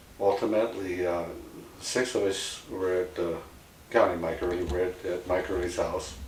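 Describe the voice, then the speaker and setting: A man speaks at a moderate pace in a very deep, low voice with monotone, flat intonation. Audible room echo and noticeable background noise surround him. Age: 70s. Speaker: tragedy survivor. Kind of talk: personal testimony. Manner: halting, many fillers.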